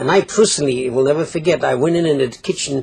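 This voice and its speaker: A man speaks with ordinary pitch variation. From Poland. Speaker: Holocaust survivor; interviewee. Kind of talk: testimony. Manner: halting. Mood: reflective, earnest. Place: studio. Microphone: lapel.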